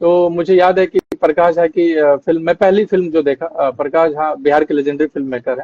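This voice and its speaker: With a Bihari accent, a man speaks at a moderate pace in a high voice and a dark, mellow tone. His intonation is fairly even, and the sound is dry and close with no echo. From Bihar, Arrah. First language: Bhojpuri (speaking Hindi). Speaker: actor. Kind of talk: interview. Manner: hesitant fillers.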